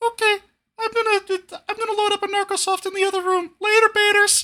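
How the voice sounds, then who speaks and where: A squeaky, put-on character voice at an extremely high pitch races along at a very fast pace in a flat monotone. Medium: actual play. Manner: upbeat, chummy.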